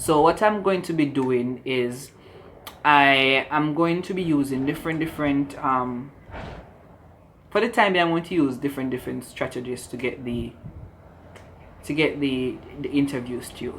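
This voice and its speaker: Long, frequent pauses break up a man's moderately paced speech, pitched fairly high with ordinary pitch variation. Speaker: spoken word poet. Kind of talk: casual talk to camera.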